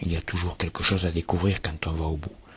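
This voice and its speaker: A man speaks with a southern French accent and a very deep, low pitch. His voice is somewhat breathy. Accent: singsong southern French. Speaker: artist, museum creator. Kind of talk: poetic voice-over narration.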